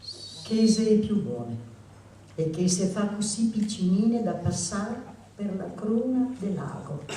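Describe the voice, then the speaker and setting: A woman speaks very slowly with a Venetian accent. Noticeable noise sits in the background. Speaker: poetry reader. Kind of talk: poetry reading. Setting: live reading.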